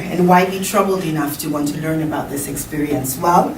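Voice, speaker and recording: Against noticeable background noise and audible room echo, a woman talks at a fairly quick pace. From Sierra Leone. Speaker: conference speaker and academic. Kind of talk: conference talk.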